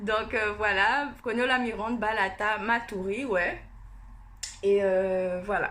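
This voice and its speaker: In a room with audible echo, a woman with a bright, sharp, fairly high voice speaks very slowly, with very even loudness and fairly even intonation. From French Guiana (Cayenne area). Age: 20s. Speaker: beauty youtuber. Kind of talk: casual vlog. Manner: hesitant, many fillers.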